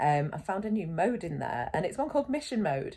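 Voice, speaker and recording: A woman with a British accent talks at a fairly quick pace with vocal fry. Her pitch moves in very wide swings. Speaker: gaming video creator. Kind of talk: casual gameplay commentary.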